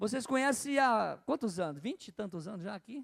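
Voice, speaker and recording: Recorded with a dry, close sound and no echo, a man talks at a moderate pace with very wide pitch swings. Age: 60s. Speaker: bishop preaching. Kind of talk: sermon. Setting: church. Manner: repetitive, conversational.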